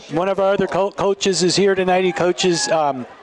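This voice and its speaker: At a moderate pace, a man speaks in a high voice with ordinary pitch variation against noticeable background noise. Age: 60s. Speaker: youth football game commentator. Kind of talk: live commentary. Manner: casual, halting with fillers.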